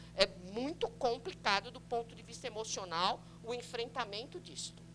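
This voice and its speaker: At a fairly slow pace, a woman talks in a bright, sharp tone at a fairly high pitch. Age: 60s. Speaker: pediatrician and public health coordinator. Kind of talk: lecture. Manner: conversational, frequent tag questions.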